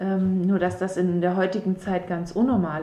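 A woman is speaking. Her pitch is medium. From southern Baden-Württemberg. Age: 30s. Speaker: mother of four, local resident. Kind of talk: podcast interview. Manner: hesitant, many fillers.

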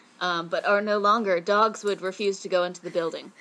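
A woman speaks in a normal speaking voice at a medium pitch. Her pace is fairly quick. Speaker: podcast co-host. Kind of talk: casual chat.

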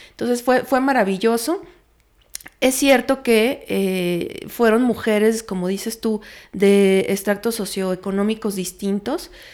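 Using ordinary pitch variation, a woman with a fairly high pitch talks at a very slow pace. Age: 30s. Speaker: feminist researcher. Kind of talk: interview.

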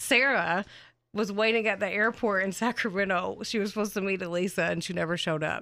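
A loud woman's voice, bright and sharp, medium in pitch with fairly even intonation at a very fast pace, on a very clean recording with a silent background. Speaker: true crime podcast co-host. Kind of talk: casual storytelling chat. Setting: recording studio.

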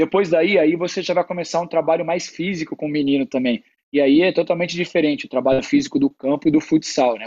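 A man speaks in an ordinary speaking voice, pitched fairly high for a man. His pace is fairly quick, with ordinary pitch variation. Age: 30s. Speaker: futsal player. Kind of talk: casual interview chat.

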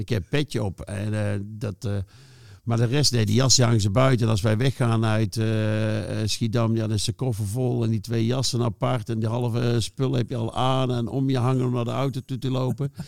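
A man with a normal speaking voice at medium pitch, a moderate pace and fairly even intonation. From North Brabant, Netherlands (Schijndel, near Den Bosch). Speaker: former football club staff. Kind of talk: casual interview.

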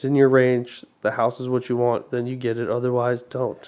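A man with an American accent speaks at a moderate pace in a dark, mellow tone. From Arizona. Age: 30s. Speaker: realtor. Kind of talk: casual chat.

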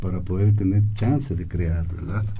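Fairly low in pitch, a man talks at a moderate pace with fairly even intonation. Audible room echo surrounds his voice. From Guatemala. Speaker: anthropologist and singer-songwriter. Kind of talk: radio interview. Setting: radio studio.

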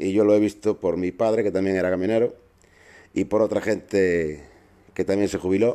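A dark, mellow tone with fairly even intonation and long, frequent pauses. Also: man, fairly low pitch for a man, moderate pace. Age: 50s. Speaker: truck driver podcast host. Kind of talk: casual monologue. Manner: halting.

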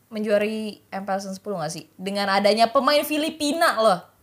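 On a very clean recording with a silent background, a woman speaks in an energetic tone with lively intonation. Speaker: podcast host. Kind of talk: casual chat.

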